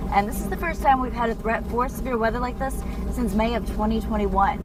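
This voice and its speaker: A woman's fairly high voice rises above noticeable background noise. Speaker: TV meteorologist. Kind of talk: TV weather forecast.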